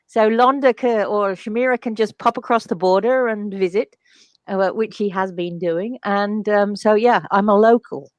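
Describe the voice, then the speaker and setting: At a moderate pace, a woman with an English accent uses a fairly high pitch and fairly even intonation, in a dry, close sound with no echo and a quiet background. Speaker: spiritual channel and healer. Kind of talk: casual interview chat.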